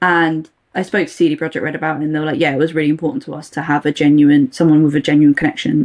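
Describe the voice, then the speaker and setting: Very fast in pace, a woman speaks with a very deep, low pitch and fairly even intonation. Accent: British. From England. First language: Russian. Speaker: voice actor. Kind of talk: casual chat.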